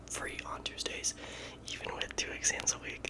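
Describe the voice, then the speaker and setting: Whispering at a moderate pace, a man can be heard through noticeable background noise. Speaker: college engineering student; ASMR creator. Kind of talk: ASMR whisper ramble. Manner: whispered; casual, chatty.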